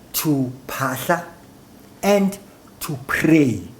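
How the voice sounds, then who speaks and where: A man's fairly high, somewhat breathy voice, very slow, with lively intonation and audible room echo. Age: 60s. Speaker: traditional healer. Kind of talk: talk show interview.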